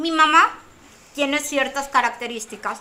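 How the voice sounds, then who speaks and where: A woman speaks in a raised, projected voice. Her pace is fairly slow. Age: 40s. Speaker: comedian and psychologist. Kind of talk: casual chat.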